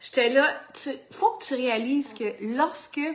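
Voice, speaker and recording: A loud woman's voice, high-pitched, with lively intonation and a Quebec accent. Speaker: fitness coach. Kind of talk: motivational vlog.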